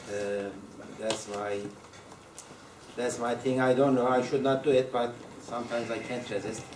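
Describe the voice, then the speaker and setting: Amid audible room echo and noticeable background noise, a man with a strong non-native accent speaks at a moderate pace in a monotone, flat intonation, leaving long, frequent pauses. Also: medium pitch for a man. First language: Turkish. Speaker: university lecturer. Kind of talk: lecture. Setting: classroom with students. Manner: halting, many fillers and repetitions.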